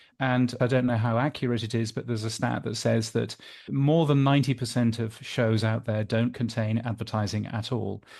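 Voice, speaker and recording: This man has a British accent and a medium pitch, talking at a fairly quick pace with fairly even intonation against a quiet background. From Britain. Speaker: podcast industry newsletter editor. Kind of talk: interview.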